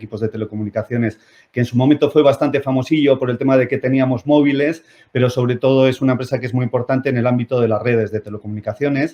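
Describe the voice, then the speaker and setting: Talking at a very fast pace, a man speaks at medium pitch with fairly even intonation. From Spain, Basque Country (Bilbao). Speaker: company CEO, physicist. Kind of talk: talk to online audience. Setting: video conference platform. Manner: hesitant, many fillers.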